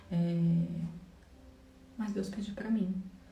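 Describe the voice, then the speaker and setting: A woman speaks over noticeable background noise. The room adds an audible echo. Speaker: religious vlogger. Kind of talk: devotional vlog monologue.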